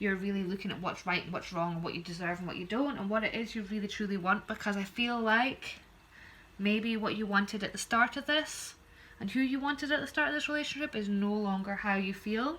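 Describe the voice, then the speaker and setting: With a Scottish accent, a woman speaks at a fairly quick pace. Her medium-pitched voice shows ordinary pitch variation. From Scotland. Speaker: tarot reader. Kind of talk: tarot reading. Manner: fast.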